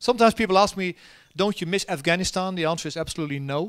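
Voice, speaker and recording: The speaker is a man with a Dutch accent. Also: quiet background. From Netherlands. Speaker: army general; keynote guest. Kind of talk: keynote talk and Q&A. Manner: halting with many fillers. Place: stage. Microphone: handheld.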